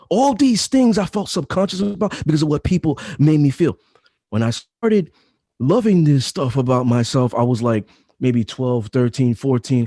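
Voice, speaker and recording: In a dry, close recording with no echo, a man with a fairly high, dark, mellow voice talks at a moderate pace, his loudness very even and his pitch swinging very widely. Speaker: storyteller, speaker.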